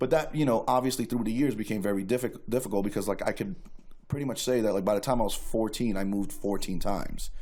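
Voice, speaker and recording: The speech goes at a very fast pace in a New York accent. Its tone is dark and mellow. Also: man, medium pitch for a man, ordinary pitch variation. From New York City (Queens). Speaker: guest sharing life story. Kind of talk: testimony. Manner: casual, filler-heavy.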